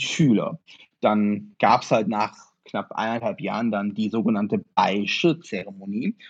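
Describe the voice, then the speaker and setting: A man speaks at a fairly slow pace in a medium pitch, his pitch varying in an ordinary way. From northern Germany, Osnabrück. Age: 30s. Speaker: martial arts practitioner. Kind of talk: interview. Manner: halting, many fillers.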